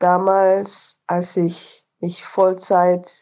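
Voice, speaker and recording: The woman's voice sits at a fairly low pitch. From Rwanda and Benin. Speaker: fish farming adviser. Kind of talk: voice messages.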